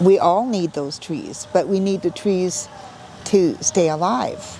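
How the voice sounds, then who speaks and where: The intonation is fairly even, with noticeable background noise behind the voice. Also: woman. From Canada, British Columbia coast (Coast Salish). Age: 60s. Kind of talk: interview. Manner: halting, many fillers.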